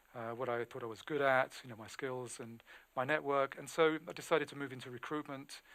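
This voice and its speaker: A man with a British accent speaks at a fairly quick pace and medium pitch. His loudness swings widely. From England. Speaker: recruiter. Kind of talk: webinar talk. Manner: halting.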